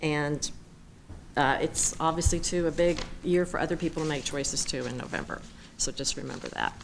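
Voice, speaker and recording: Over audible room echo, a woman with a very deep, low voice and vocal fry talks fairly quickly in a monotone, flat way, with long, frequent pauses. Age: 60s. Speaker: public commenter at city council. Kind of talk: public comment speech. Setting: city council meeting.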